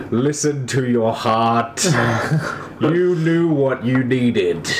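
A man's put-on character voice at a medium pitch, very slow, over clear background noise.

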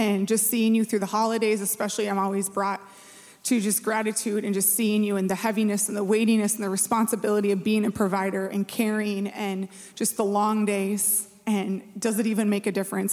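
A woman with an Upper Midwest accent, fairly quick pace and monotone, flat intonation. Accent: Upper Midwest (Minnesota). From Minnesota. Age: 40s. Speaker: church staff. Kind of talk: sermon. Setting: church.

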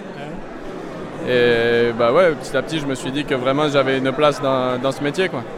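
A man at medium pitch speaks at a moderate pace with fairly even intonation and long, frequent pauses. Audible room echo and noticeable background noise are present. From southern Burgundy, France. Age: 20s. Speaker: winemaker. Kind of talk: casual interview. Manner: hesitant, many fillers.

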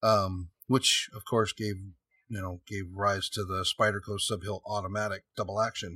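A man with an American accent speaks in a fairly low, monotone, flat voice. His tone is bright and sharp, and his loudness swings widely. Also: moderate pace, dry, close sound with no echo, very clean recording, silent background. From San Jose, California. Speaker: custom knife maker. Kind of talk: casual interview.

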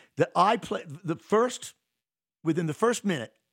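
A man talks with lively intonation. The recording is very clean, with a silent background and a dry, close sound with no echo. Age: 60s. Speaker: saxophonist and bandleader. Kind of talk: casual interview chat. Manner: rambling, filler-heavy.

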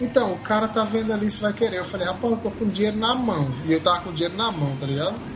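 The speech moves at a very fast pace with ordinary pitch variation, and background noise is noticeable. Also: man, high pitch for a man. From Brazil, Ceará. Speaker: podcast co-host. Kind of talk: casual chat.

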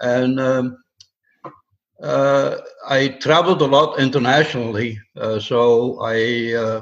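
A man talks at a medium pitch and a very slow pace. His intonation stays fairly even. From Netherlands. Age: 70s. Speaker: amateur solar astronomer, retired. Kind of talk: casual interview chat. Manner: halting, many fillers.

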